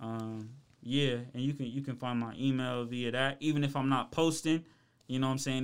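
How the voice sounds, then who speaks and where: On a very clean recording with a silent background, a man with an American accent talks at a very fast pace. His intonation stays monotone and flat. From Ohio, Columbus. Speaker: rapper and creative. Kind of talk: casual podcast interview. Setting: studio.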